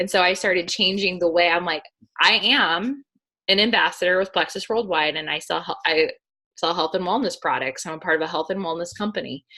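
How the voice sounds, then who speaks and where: This woman has an unremarkable speaking voice with a fairly low pitch. She talks at a fairly quick pace with ordinary pitch variation. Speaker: network marketing team leader. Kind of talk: motivational team training call.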